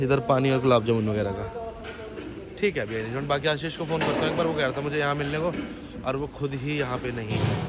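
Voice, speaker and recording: Amid noticeable background noise, a man speaks at a moderate pace and a medium pitch with ordinary pitch variation. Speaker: vlogger. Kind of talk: casual vlog narration.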